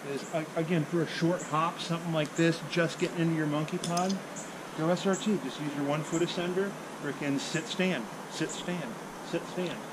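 There is noticeable background noise. A man talks at a moderate pace. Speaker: tree climbing instructor. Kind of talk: tutorial. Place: garden. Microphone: camera far.

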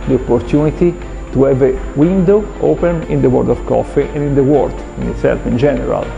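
A man talks at a fairly quick pace. Clear music sounds behind him. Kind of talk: interview answer. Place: classroom.

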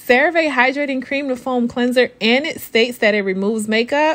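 A woman's upbeat voice, high in pitch, with lively intonation at a moderate pace. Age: 30s. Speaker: registered nurse, skincare reviewer. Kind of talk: casual product review to camera. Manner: chatty, upbeat. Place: bathroom. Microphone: camera far.

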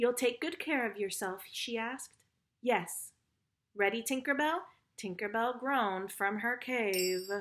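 Natural-voiced reading aloud with a quiet background

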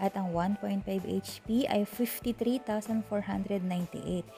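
Faint music plays behind the speech. The speaker is a woman. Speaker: vlogger showing store products. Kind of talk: casual vlog product walkthrough. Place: shop. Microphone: phone near.

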